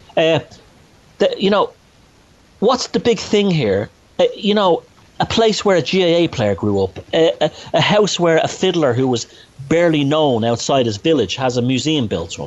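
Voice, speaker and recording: Pausing long and often, a man speaks in a fairly high voice with very wide pitch swings. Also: moderate pace. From Ireland, north Dublin. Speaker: author and researcher. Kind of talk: podcast interview. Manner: animated, halting with restarts.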